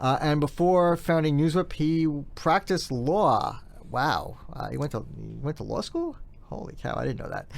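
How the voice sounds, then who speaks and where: A man with a New York accent at a moderate pace. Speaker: podcast host, PR content strategist. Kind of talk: podcast interview.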